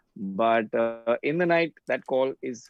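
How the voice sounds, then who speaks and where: Lively intonation from a man at medium pitch, with music in the background. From India, Mumbai. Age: 20s. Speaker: actor. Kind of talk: casual chat.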